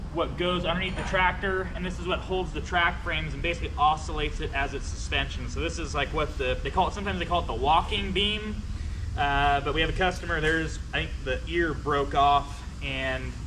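A man's fairly quick speech comes through with noticeable background noise around it. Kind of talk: work explanation to camera. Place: workshop. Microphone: camera far.

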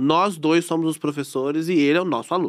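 A man's fairly high voice with fairly even intonation over a quiet background. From Brazil. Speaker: reality TV ex-contestant; podcast guest. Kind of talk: casual chat. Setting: studio. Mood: relaxed, chatty. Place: studio. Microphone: studio mic.

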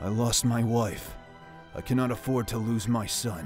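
An angry, theatrical delivery at a fairly slow pace, with faint music in the background. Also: man. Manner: commanding, angry, theatrical.

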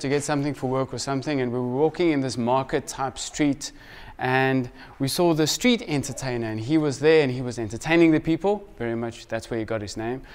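This man talks at a fairly quick pace with ordinary pitch variation. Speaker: preacher. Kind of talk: sermon. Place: church.

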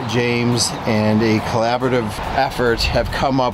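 A man's fairly slow delivery, dry and echo-free, over background music. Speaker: pond builder vlogger. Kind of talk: casual vlog chat. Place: street. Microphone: phone near.

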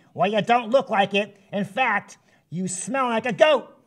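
This is a cartoonish character voice with a fairly high pitch. The pace is moderate. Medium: puppet.

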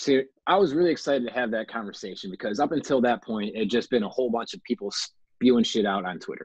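Against a quiet background, a man talks at a very fast pace with ordinary pitch variation, the sound dry with no echo. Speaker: podcast co-host, former college football player; podcast co-host. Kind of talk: casual chat. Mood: earnest, emotional. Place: home room. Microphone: video call.

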